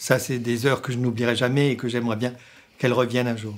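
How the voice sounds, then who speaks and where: A man's voice at medium pitch. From Sundgau, southern Alsace, France. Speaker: radio programme director. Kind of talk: interview monologue. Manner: halting, with many hesitations.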